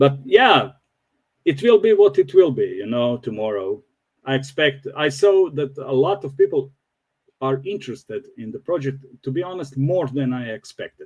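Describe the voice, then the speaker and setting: A man with a non-native accent, somewhat breathy, with lively intonation, a moderate pace and big swings in loudness. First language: not English. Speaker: crypto project developer, former pilot. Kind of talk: interview. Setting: livestream. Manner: halting.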